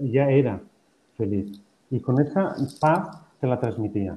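A somewhat breathy man's voice at medium pitch with lively intonation. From Spain. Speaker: professor and happiness researcher. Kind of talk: interview.

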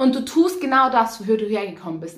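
A woman talks at a fairly quick pace, somewhat breathy, with lively intonation. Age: 20s. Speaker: poetry slammer and cabaret artist. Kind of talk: poetry slam performance.

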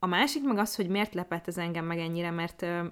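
An unremarkable speaking voice, its pitch shifting in an ordinary way. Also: woman. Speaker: podcast co-host. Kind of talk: casual chat.

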